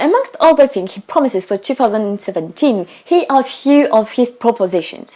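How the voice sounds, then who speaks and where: With a French accent, a woman speaks at a high pitch and a fairly quick pace in a dark, mellow tone, her pitch swinging very widely. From France. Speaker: student vlogger. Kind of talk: casual explainer video. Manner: animated.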